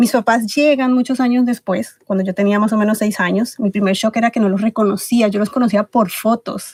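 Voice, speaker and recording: Fairly high and somewhat breathy, a woman's voice runs at a fairly quick pace with hardly any pauses and fairly even intonation, recorded dry and close with no echo. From Ecuador. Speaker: podcast guest, book club organizer. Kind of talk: interview.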